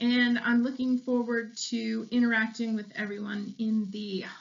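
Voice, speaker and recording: A woman talks at a fairly slow pace in a high pitch. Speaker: photography instructor. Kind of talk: tutorial. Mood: warm and cheerful. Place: home room. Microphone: webcam.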